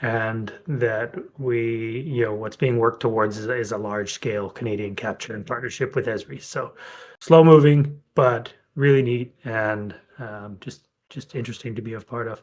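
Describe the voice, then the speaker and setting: Pitched at a medium level, a man speaks with ordinary pitch variation. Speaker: company representative hosting community call. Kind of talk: community video call update. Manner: fast.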